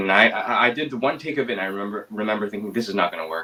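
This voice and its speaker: A man with a fairly low pitch talks at a very fast pace, with ordinary pitch variation. Background noise is noticeable. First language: Mandarin. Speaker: actor. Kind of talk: interview. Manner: hesitant, many fillers.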